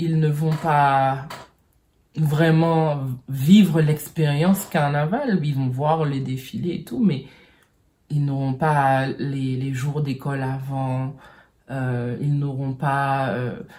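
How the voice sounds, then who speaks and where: Very slow with long, frequent pauses, a woman speaks in a very deep, low voice with a dark, mellow tone and fairly even intonation, with audible room echo. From French Caribbean. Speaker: vlogger. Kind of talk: personal vlog monologue. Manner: halting, many hesitations.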